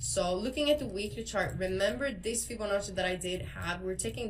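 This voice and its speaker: A woman talks with lively intonation and hardly any pauses amid audible room echo. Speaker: crypto trading educator. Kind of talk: tutorial. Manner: fast.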